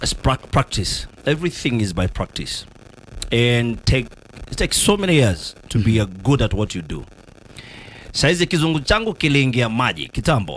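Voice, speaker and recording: Speaking with a Kenyan accent, a man uses a medium pitch with very wide pitch swings and vocal fry at a moderate pace. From Kenya, rural village. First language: Kikuyu. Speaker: journalist and news anchor, former police officer. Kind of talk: radio interview. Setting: radio studio.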